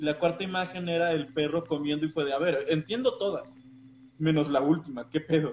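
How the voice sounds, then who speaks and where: A man speaks at a moderate pace in a fairly high pitch with ordinary pitch variation. Noticeable background noise runs behind him. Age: 20s. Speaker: podcast co-host. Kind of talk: casual chat.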